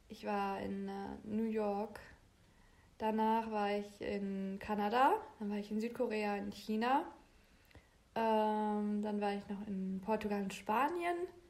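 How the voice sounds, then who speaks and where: A woman's medium-pitched voice at a very slow pace, with fairly even intonation and long, frequent pauses. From Germany, Bielefeld. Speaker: podcast co-host. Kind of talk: casual chat.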